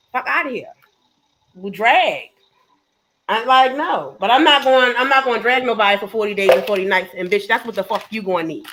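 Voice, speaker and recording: Animated and lively in intonation, a woman with a Baltimore accent speaks at a moderate pace and a fairly high pitch. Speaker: panelist. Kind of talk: heated debate. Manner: animated, cursing.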